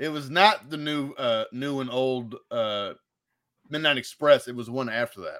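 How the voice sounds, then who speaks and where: A man with an ordinary speaking voice and an American accent, medium pitch with ordinary pitch variation, fairly slow pace and big swings in loudness, on a very clean recording with a silent background. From Indiana. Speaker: podcast host. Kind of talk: casual chat.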